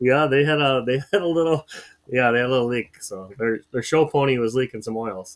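A man with an American accent, medium in pitch with ordinary pitch variation, at a fairly quick pace with big swings in loudness. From North Dakota (Fargo). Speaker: podcast co-host, snow contractor. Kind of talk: casual chat.

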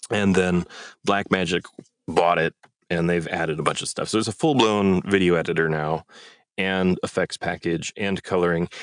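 A man talks at a fairly slow pace in a very deep, low voice, his intonation fairly even. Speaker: voice actor. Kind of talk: casual chat.

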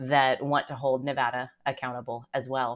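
A woman with an American accent speaks in a very deep, low voice and a flat monotone, recorded very cleanly against a silent background. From Texas, Dallas area. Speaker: trafficking survivor and lawyer. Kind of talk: interview testimony.

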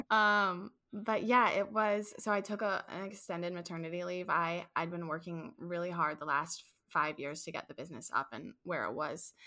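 Recorded very cleanly against a silent background, a woman with a Midwestern American accent has a bright, sharp tone, fairly low pitch and ordinary pitch variation. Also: moderate pace, hardly any pauses. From St. Louis, Missouri. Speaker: childcare business owner. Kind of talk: casual interview.

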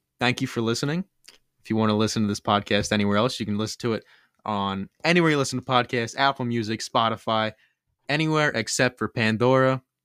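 A man in a Philadelphia accent at a very fast pace, on a very clean recording with a silent background and a dry, close sound with no echo. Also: medium pitch for a man, ordinary pitch variation. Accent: Delco (Philadelphia area). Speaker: podcast co-host. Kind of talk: casual chat.

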